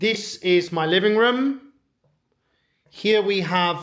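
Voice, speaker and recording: Speaking very slowly with a British accent, a man uses a high pitch and ordinary pitch variation. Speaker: English teacher. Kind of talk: vlog house tour for English learners. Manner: clear, slow.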